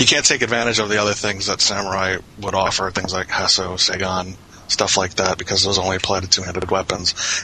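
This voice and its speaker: A man talks at a very fast pace in a very deep, low pitch. His intonation is monotone and flat, with noticeable background noise. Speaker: online game player. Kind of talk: casual chat.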